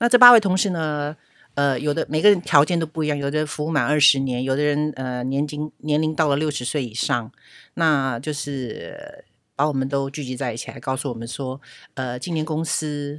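A woman speaks at a moderate pace in a very deep, low pitch with ordinary pitch variation. The recording is very clean, with a silent background. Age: 60s. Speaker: retail store clerk. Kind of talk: interview. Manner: gentle, soft-spoken at first.

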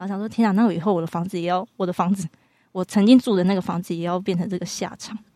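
A woman with a dark, mellow tone, a very fast pace and fairly even intonation, in a very clean recording with a silent background. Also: medium pitch for a woman, dry, close sound with no echo. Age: 20s. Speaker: psychology graduate student. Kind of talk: casual chat.

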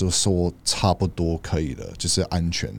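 Here is a man with an English accent. His pitch is very deep and low. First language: English (speaking Chinese). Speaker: podcast co-host. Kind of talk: casual chat. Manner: halting.

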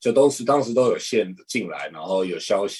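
A man speaks with an unremarkable speaking voice. His pitch is medium and his pace moderate. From Taiwan. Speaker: professional basketball player. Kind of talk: interview.

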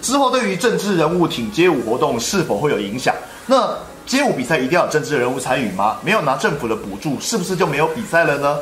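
Amid noticeable background noise and audible room echo, a man with a fairly high pitch talks very fast, his pitch swinging very widely. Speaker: street dance livestream host. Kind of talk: casual interview livestream. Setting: on-location livestream in Taichung. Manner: animated.

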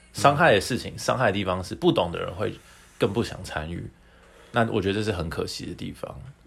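A man talks at a very fast pace with a fairly low pitch and vocal fry. His intonation is lively, and his loudness swings widely. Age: 20s. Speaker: podcast co-host. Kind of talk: casual chat.

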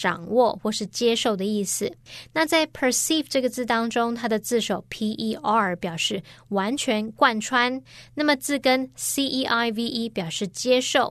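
Speaking at a moderate pace with a Chinese accent, a woman uses a fairly high pitch. Her pitch varies in an ordinary way over a quiet background. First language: Mandarin Chinese. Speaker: English teacher. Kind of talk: grammar lesson.

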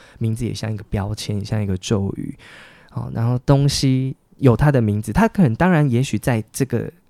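The voice has a dark, mellow tone, moving at a moderate pace with ordinary pitch variation. The recording is very clean with a silent background and a dry, close sound with no echo. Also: man, medium pitch for a man. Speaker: writer. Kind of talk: interview conversation.

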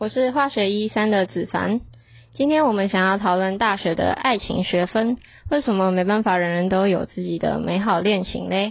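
Speaking at a moderate pace, a woman has an unremarkable speaking voice at a medium pitch with ordinary pitch variation. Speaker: university student podcast co-host. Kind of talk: casual chat.

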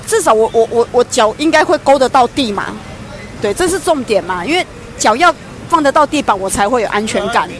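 Over music in the background, a woman talks at a fairly quick pace in a high pitch with very wide pitch swings. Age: middle-aged. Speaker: co-presenter. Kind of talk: casual chat.

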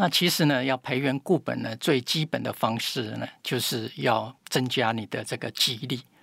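Vocal fry and ordinary pitch variation in a man's medium-pitched voice. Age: 70s. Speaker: health expert, pharmacy doctor. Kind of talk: interview.

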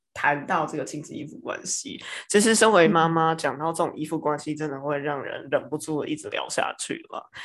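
A woman with a fairly low pitch speaks at a fairly quick pace with hardly any pauses and ordinary pitch variation, on a very clean recording with a silent background. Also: big swings in loudness. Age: 40s. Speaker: tarot reader and aromatherapist podcast host. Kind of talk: casual chat.

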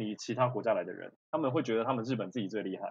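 Against a quiet background, a man talks at medium pitch. He has a plain, everyday voice. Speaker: culinary school graduate who lived in Japan. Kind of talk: casual chat.

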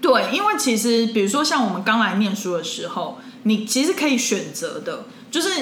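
A woman with a fairly high voice speaks at a moderate pace with very wide pitch swings over noticeable background noise. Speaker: podcast co-host. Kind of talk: casual chat. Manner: animated.

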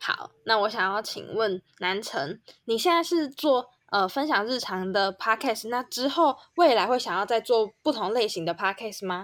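In a very clean recording with a silent background, a woman with a plain, everyday voice speaks fairly slowly at a fairly high pitch. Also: lively intonation. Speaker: podcast co-host. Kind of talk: casual chat.

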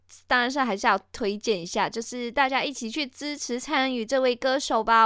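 The woman speaks in an animated tone. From Malaysia. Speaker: podcast host. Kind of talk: casual solo podcast talk.

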